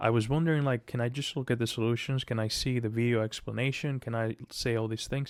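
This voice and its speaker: On a very clean recording with a silent background, a man with a non-native accent talks at a very fast pace with hardly any pauses, using a medium pitch and fairly even intonation. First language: not English. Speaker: aspiring software developer, coding vlogger. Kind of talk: casual pep talk to camera. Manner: halting, many restarts and fillers.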